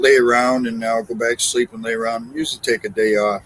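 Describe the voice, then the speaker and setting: A man talks at a fairly quick pace in a monotone, flat intonation amid noticeable background noise. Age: 60s. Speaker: truck driver. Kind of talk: casual chat.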